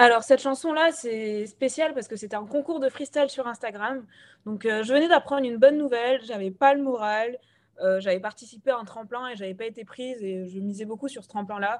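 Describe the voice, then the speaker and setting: A woman talks at a fairly quick pace in a plain, everyday voice, fairly high in pitch with ordinary pitch variation and big swings in loudness. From Gabon. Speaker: rapper and singer-songwriter. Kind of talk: radio interview. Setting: remote interview.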